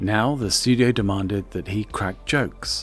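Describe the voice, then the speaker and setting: A soft-spoken man talks at a fairly slow pace in a fairly low pitch, with music in the background. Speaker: video essay narrator. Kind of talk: film history narration. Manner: soft, ASMR-like.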